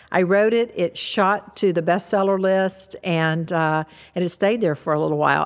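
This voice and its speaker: In a plain, everyday voice, a woman speaks at a moderate pace with medium pitch and ordinary pitch variation. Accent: American. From US South. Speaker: author, former nurse. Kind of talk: interview. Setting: studio.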